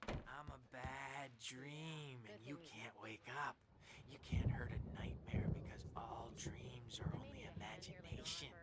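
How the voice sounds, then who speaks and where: Over loud background noise, a put-on character voice whispers at a fairly slow pace. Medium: video game. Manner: ranting, petulant.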